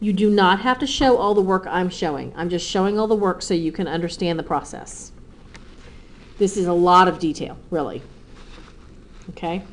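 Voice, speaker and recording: At a moderate pace, a woman speaks in a medium pitch with ordinary pitch variation and long, frequent pauses. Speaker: math teacher. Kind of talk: tutorial.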